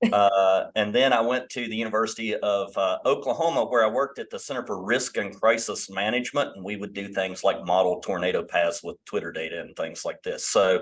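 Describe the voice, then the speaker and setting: Talking at a fairly quick pace with hardly any pauses, a man speaks in a West Virginia accent. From West Virginia, New River Gorge area. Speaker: professor. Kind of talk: online panel discussion.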